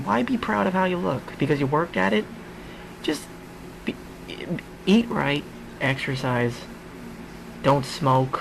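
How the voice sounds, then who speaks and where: Lively in intonation, a man speaks at a fairly high pitch with noticeable background noise. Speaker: comedian. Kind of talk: casual podcast monologue.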